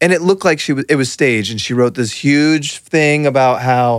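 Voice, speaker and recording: This man has a normal speaking voice pitched fairly high, at a moderate pace. The recording is very clean, with a silent background. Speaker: podcast host. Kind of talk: casual banter podcast.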